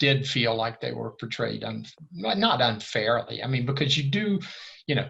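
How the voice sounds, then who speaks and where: A bright, sharp tone with vocal fry, lively intonation and a moderate pace. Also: man, medium pitch for a man. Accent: American. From US. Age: 70s. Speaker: former diplomat and navy frogman. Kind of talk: casual chat.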